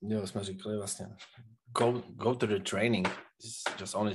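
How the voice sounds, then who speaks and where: With a Czech accent, a man talks at a moderate pace in a fairly low pitch. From Czech Republic. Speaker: professional wrestler. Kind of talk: interview. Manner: halting.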